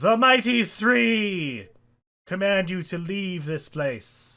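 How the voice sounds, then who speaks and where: Very slowly, a man performs a put-on character voice, high-pitched and lively in intonation. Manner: commanding, proclaiming.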